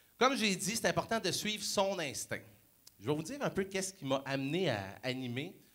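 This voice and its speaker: Animated in tone, a man with a high pitch and a Quebec accent speaks with very wide pitch swings. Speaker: motivational speaker. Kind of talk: motivational talk.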